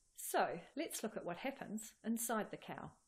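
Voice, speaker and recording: Her voice carries a somewhat breathy quality. The woman talks at a moderate pace. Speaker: presenter. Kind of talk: educational explainer. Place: studio.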